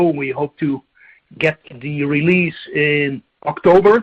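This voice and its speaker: A man talks at a fairly high pitch. His intonation stays fairly even. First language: not English. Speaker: business executive. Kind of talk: corporate shareholder meeting remarks.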